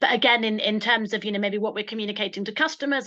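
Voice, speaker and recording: Against a quiet background, a woman with a British accent speaks in a bright, sharp tone at a fairly high pitch. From UK. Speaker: social enterprise founder giving a webinar talk; presenter. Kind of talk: online webinar presentation. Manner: fast; hesitant, many repetitions and fillers. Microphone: video call.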